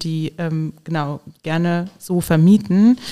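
The speaker has a plain, everyday voice. The intonation stays fairly even. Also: woman. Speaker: podcast host. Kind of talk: casual interview.

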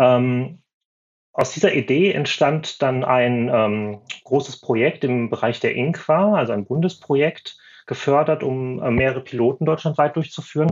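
A man at a fairly slow pace, medium pitch and ordinary pitch variation, an ordinary speaking voice. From Schleswig-Holstein, northern Germany. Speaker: former nurse, consultant. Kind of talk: podcast interview.

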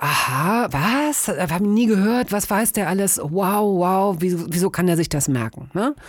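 Her pace is very slow. The woman's pitch is medium. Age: 50s. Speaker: radio host and podcaster. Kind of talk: casual chat.

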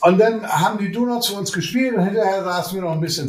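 Through noticeable background noise, a high-pitched man speaks at a fairly quick pace with ordinary pitch variation. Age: 50s. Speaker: podcast guest living with MS, retired. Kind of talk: casual interview chat. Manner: animated, laughs often.

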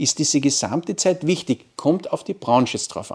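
In a very clean recording with a silent background, a man talks at a fairly quick pace with a fairly high pitch in an ordinary speaking voice. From Austria, Carinthia (Wolfsberg). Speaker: marketing professor. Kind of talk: interview. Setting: university campus.

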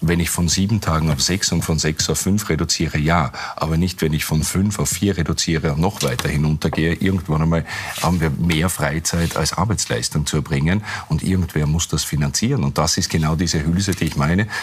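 A man's very deep, low voice at a fairly quick pace, with very even loudness, fairly even intonation and noticeable background noise. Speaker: communications consultant. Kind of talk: TV panel discussion. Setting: TV studio.

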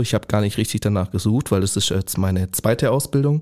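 Dark, mellow, fairly low male voice on a very clean recording with a silent background. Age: 20s. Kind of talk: podcast interview.

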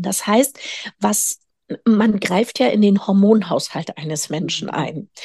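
The voice is somewhat breathy with a dark, mellow tone and ordinary pitch variation. It moves at a very slow pace in a dry, close sound with no echo. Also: woman. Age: 50s. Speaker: physician specializing in nutritional medicine. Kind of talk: interview.

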